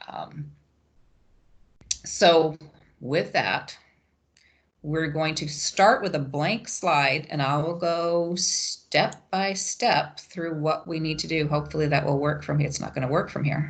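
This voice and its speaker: At a very slow pace with long, frequent pauses, the somewhat breathy voice shows ordinary pitch variation. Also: woman, very deep, low pitch for a woman. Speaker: webinar presenter for educators. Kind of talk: tutorial. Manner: hesitant, many fillers (um).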